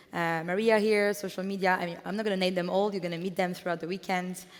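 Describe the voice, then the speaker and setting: With a French accent, a woman speaks at a medium pitch with fairly even intonation. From France. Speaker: event co-founder. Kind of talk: conference welcome speech. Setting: stage with audience. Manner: halting, with fillers.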